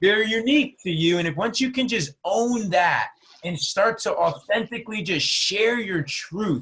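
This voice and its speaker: Using a New Jersey accent, a man with a high pitch and a bright, sharp tone speaks at a fairly slow pace, animated and with lively intonation. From New Jersey, US. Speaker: entrepreneur and business mentor. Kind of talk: podcast interview.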